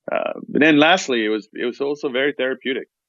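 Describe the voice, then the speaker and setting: A man is speaking. He talks at a very fast pace. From France, outside Paris. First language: French. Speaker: war veteran. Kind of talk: interview. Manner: many fillers and restarts.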